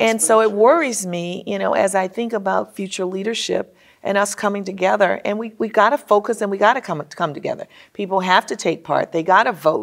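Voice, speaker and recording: The speech moves at a fairly quick pace with an American accent. Pitch variation is ordinary. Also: woman. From New Orleans, Louisiana, US. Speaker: business executive; guest. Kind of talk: interview. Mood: earnest, concerned. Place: studio. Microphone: lapel.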